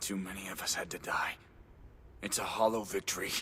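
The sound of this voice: This is a cartoonish character voice, whispering. It goes at a fairly quick pace. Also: man.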